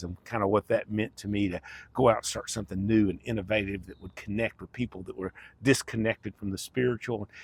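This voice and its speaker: A man with an American accent, his pitch fairly low, somewhat breathy and at a fairly quick pace, in a dry, close recording with no echo. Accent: Southern US, redneck-sounding. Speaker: life coach, former pastor. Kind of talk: personal testimony. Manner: casual, conversational.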